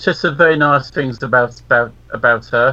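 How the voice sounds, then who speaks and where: At a fairly slow pace, a man talks with fairly even intonation and a bright, sharp tone. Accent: southern English. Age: 50s. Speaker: radio co-host. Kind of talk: casual chat. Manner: halting.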